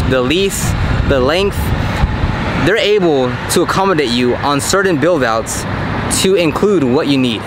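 With loud background noise but a dry sound and no echo, a man speaks at a moderate pace. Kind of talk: casual vlog chat. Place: street. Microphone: phone near.

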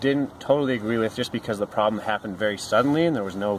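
A man talks with ordinary pitch variation, the sound dry with no echo and light background noise present. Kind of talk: tutorial. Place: street. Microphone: phone near.

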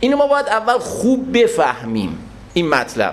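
An animated man with very wide pitch swings, audible room echo and noticeable background noise. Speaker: religious lecturer. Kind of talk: religious lecture.

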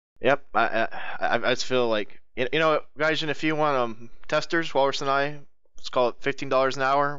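With an American accent, a normal speaking voice moves at a moderate pace with fairly even intonation. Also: man, fairly high pitch for a man. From United States. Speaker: gaming podcast host. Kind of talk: casual chat.

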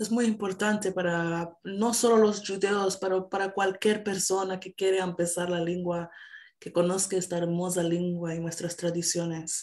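She speaks at a fairly slow pace. Her delivery stays flat and monotone. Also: quiet background. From Canada. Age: 20s. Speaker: singer and musician; interview guest. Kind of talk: interview. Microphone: video call.

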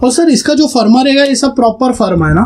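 Speaking fairly quickly with lively intonation, a man uses an extremely high pitch and a slightly mellow tone.

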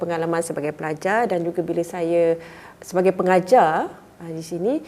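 Its pace is moderate. The tone is dark and mellow. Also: woman. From Malaysia, Muar, Johor. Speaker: university lecturer. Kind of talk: casual interview.

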